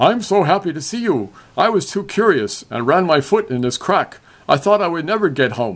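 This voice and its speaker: In a very clean recording with a silent background, a put-on character voice speaks at a moderate pace. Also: man, high pitch for a man. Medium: read story.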